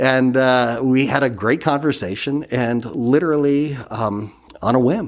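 On a very clean recording with a silent background, a man with an unremarkable speaking voice and an American accent talks at a moderate pace and medium pitch. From Massachusetts. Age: 50s. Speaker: ambulance company executive. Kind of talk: interview.

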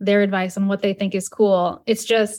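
The recording is very clean, with a silent background. A woman with an unremarkable speaking voice talks at a fairly quick pace in a medium pitch. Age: 30s. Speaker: social selling coach. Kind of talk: casual chat.

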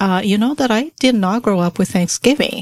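A woman with a Portuguese accent, lively intonation and a moderate pace, in a dry, close sound with no echo. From Brazil. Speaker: podcast co-host. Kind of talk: casual chat.

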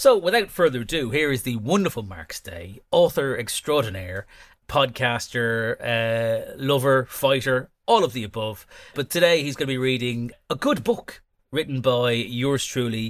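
A man at a medium pitch speaks at a moderate pace with lively intonation and big swings in loudness, in an unremarkable speaking voice. The recording is very clean, with a silent background. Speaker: author and podcast host. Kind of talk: casual chat. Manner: chatty, jokey, rambling.

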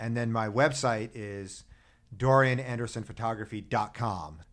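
A man with an unremarkable speaking voice talks at a medium pitch with ordinary pitch variation on a very clean recording with a silent background. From US Northeast, Philadelphia. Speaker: birder and bike-trip adventurer. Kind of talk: interview conversation.

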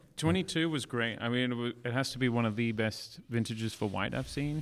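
This man, medium in pitch, speaks fairly quickly with an Australian accent. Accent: Australian-sounding. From South Africa, then Australia from age 15. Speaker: winemaker. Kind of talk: casual interview chat. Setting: in winery caves.

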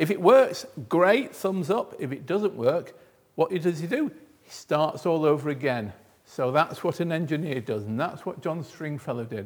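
The speaker has an ordinary speaking voice. The delivery is fairly slow, with lively intonation. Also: man, very clean recording, silent background. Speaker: museum volunteer. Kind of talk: presentation to schoolchildren. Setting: museum, with children. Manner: engaging, quizzing the children.

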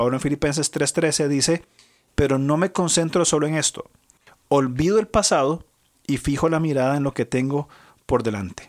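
A man with a fairly high pitch talks at a moderate pace with ordinary pitch variation, leaving long, frequent pauses. The recording is very clean and dry, close and without echo, with a silent background. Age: 40s. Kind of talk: religious discussion on family and Bible.

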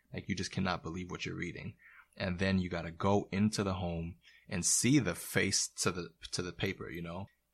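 In a very clean recording with a silent background, a man with an American accent and very deep, low pitch talks at a fairly quick pace with fairly even intonation. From Florida, Haitian family. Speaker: therapeutic mentor. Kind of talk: casual chat.

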